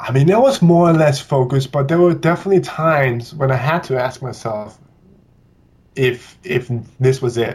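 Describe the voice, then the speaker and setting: With a Danish accent, a man speaks in a somewhat breathy, fairly high voice at a moderate pace, with ordinary pitch variation. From Denmark, Copenhagen. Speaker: ballet dancer. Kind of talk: interview.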